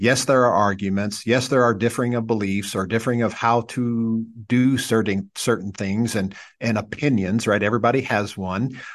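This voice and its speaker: A man with an ordinary speaking voice and an American accent talks at a medium pitch and moderate pace, his intonation fairly even, over a quiet background. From US Midwest, southern Indiana. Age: 40s. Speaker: pastor. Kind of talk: casual chat.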